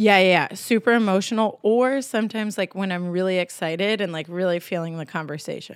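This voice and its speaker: A woman with an American accent speaks very fast at medium pitch, her pitch varying in an ordinary way. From Texas and New Hampshire. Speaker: yoga teacher and theater director. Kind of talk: casual chat, podcast interview.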